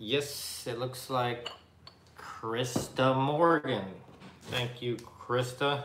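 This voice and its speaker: A man talks at a very slow pace, leaving long, frequent pauses and keeping his intonation fairly even. Audible room echo and light background noise are present. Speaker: co-host of live vintage sale. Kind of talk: live-stream sale chat. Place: home room. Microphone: webcam.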